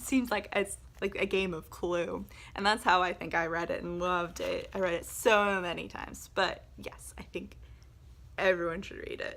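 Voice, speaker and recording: A woman with a Southern US accent speaks with big swings in loudness. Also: moderate pace. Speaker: book video creator. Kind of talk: casual vlog talk. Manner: animated.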